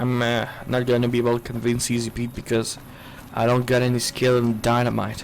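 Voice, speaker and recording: A man talks at medium pitch in a monotone, flat intonation. Noticeable background noise runs underneath. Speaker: gaming streamer. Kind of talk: casual let's play commentary. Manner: halting.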